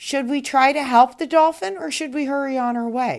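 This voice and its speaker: Putting on a character voice, a woman speaks at a high pitch. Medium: read story. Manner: innocent, earnest.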